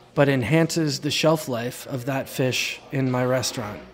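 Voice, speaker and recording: A man's fairly even intonation comes through as noticeable background noise plays behind him. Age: 40s. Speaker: commercial fisherman. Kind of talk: casual explanation. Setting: on a fishing boat.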